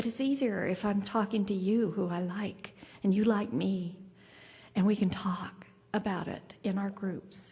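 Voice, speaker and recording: A woman speaks fairly slowly at a medium pitch with fairly even intonation. There is audible room echo. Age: 60s. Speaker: keynote speaker. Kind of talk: keynote speech. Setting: conference luncheon with audience.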